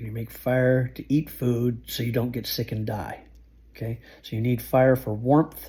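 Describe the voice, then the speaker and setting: A man speaks at a fairly slow pace with a medium pitch and fairly even intonation. His tone is dark and mellow, somewhat breathy. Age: 60s. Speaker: survival skills youtuber, truck driver. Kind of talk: informal tutorial monologue. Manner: casual, halting with restarts.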